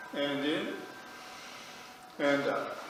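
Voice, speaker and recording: Noticeable noise fills the background. The man talks very slowly. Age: 70s. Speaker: yoga instructor. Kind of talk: guided yoga class instruction to a group. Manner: calm, friendly, instructive.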